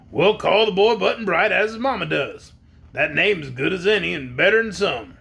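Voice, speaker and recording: A gravelly, put-on character voice moves at a moderate pace, relaxed in tone with lively intonation. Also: man, high pitch for a man. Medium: read story. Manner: folksy, relaxed.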